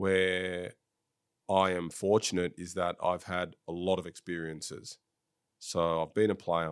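On a very clean recording with a silent background, a man with an Australian accent speaks in a monotone, flat intonation at a very deep, low pitch. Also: fairly slow pace. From Sydney, Australia. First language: French. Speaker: football director, former professional footballer. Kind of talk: casual interview.

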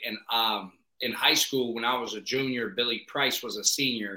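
This man has an American accent and a bright, sharp tone. He speaks at a fairly slow pace with fairly even intonation. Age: 20s. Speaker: podcast host, head football coach. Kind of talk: casual chat. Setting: video call.

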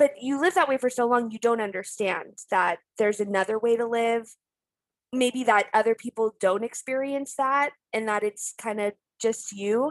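At a moderate pace, a woman with a fairly high pitch and ordinary pitch variation is heard in a dry, close sound with no echo. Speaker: YouTuber. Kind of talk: casual chat. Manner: loud.

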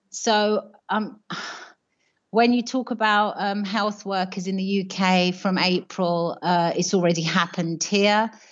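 The speech comes very slowly with fairly even intonation and a British accent. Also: woman, medium pitch for a woman. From UK. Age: 50s. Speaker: primary school teacher. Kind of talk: radio phone-in call. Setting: phone call.

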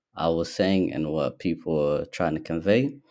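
A man with an Australian accent and a very deep, low pitch. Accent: Australian, some hear it as American. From Ethiopia, Somali background, in Australia since age 10. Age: 20s. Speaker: young business owner. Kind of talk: casual interview. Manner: hesitant, many fillers.

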